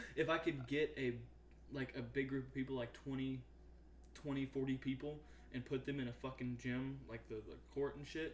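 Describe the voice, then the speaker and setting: At a moderate pace, a man with an American accent talks with long, frequent pauses. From US South, Arkansas. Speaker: podcast co-host. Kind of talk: casual chat. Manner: animated.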